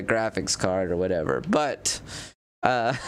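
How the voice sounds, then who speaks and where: Lively intonation runs through a man's medium-pitched voice. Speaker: gaming streamer. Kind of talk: live stream chat while gaming. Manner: casual, hesitant with many fillers.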